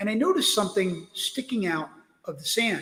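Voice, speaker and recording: A man's high-pitched voice at a moderate pace. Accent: New York. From US Northeast (Brooklyn, New York). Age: 60s. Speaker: wreck diver and author. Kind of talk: interview storytelling. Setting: live stream interview.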